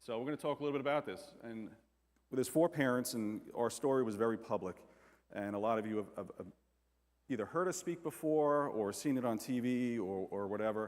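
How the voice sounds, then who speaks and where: In an American accent, a man speaks at a fairly quick pace and a medium pitch with ordinary pitch variation, on a very clean recording with a silent background. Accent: New York accent with slight southern touches. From New York. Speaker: firefighter and bereaved father speaking on domestic abuse. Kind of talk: conference talk. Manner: casual, with many repetitions and fillers.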